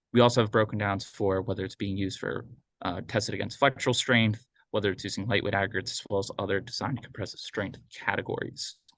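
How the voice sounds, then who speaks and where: A very fast male voice, fairly low in pitch, with fairly even intonation. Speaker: public agency sustainability staff. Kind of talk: meeting update report.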